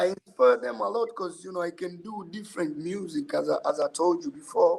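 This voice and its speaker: A man speaks with an East African accent. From Tanzania. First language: Swahili. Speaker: musician. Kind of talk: podcast interview. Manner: halting.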